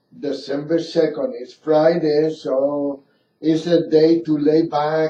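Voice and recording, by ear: A man with a fairly high but dark, mellow voice speaks slowly, his pitch moving little.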